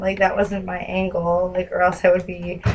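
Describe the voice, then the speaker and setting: At a moderate pace and medium pitch, a woman talks with monotone, flat intonation. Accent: American. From New Jersey. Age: 20s. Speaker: caller. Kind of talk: phone call. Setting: phone call.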